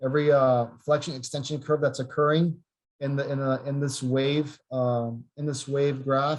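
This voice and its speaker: A man's somewhat breathy voice sits at a fairly high pitch with a monotone, flat intonation. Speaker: physical therapy researcher. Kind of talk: webinar lecture. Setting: video call. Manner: fast.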